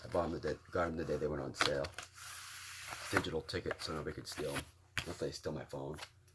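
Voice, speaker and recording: A man with a very deep, low pitch talks at a very fast pace with fairly even intonation. His speech has long, frequent pauses, and there is noticeable background noise. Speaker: vinyl collector vlogger. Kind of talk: casual show-and-tell video.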